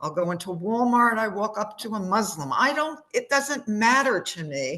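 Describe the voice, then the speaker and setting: A woman's voice at a moderate pace, full of very wide pitch swings. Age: 70s. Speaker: participant sharing personal experience. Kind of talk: emotional testimony. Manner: halting, repeats words.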